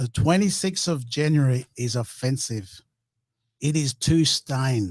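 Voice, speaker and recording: Fairly slow and somewhat breathy, a man's fairly high voice carries lively intonation. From Torres Strait Islands, Australia. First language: Meriam Mer. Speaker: First Nations panel guest. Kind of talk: heated debate.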